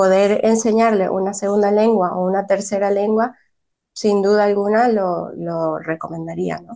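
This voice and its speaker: This woman talks at a fairly slow pace and a medium pitch, her tone dark and mellow and her intonation monotone and flat. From raised in the United States, born in Venezuela. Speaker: early childhood bilingual teacher. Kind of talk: radio interview.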